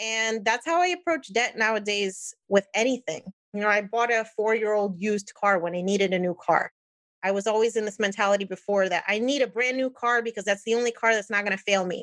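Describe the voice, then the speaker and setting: Her fairly high voice is an unremarkable speaking voice. The woman talks at a fairly quick pace. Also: ordinary pitch variation. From New Jersey, US (Puerto Rican family). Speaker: engineer and personal finance podcaster. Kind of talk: casual interview chat.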